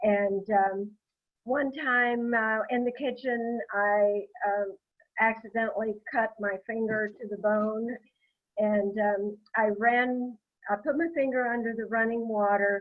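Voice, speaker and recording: Fairly high-pitched, a woman speaks at a very slow pace with fairly even intonation. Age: 80s+. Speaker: product testimonial guest. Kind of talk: testimony. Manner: halting, many fillers.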